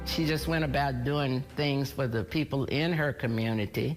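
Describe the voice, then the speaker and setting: Music plays behind a woman whose voice is very deep and low. She keeps a moderate pace, very even loudness, and ordinary pitch variation. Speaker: TV news anchor and reporter. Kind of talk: TV news anchoring and field reporting. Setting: on-location field reporting.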